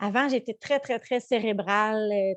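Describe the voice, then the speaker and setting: Recorded with a dry, close sound and no echo, a woman in a Quebec accent speaks at a fairly high pitch with fairly even intonation. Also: quiet background. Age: 30s. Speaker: mindfulness coach. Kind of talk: live webinar teaching. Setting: live online webinar. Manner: halting, many fillers.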